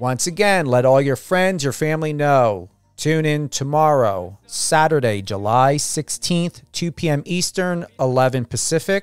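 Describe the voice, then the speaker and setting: Lively intonation in a New Jersey accent at a fairly slow pace with hardly any pauses, on a very clean recording with a silent background. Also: man. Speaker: radio host. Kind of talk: radio interview.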